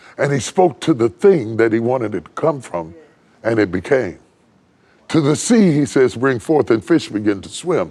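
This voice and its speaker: A man talks in a dark, mellow tone at a fairly slow pace. His pitch swings very widely. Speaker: preacher. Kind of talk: sermon delivered to a congregation.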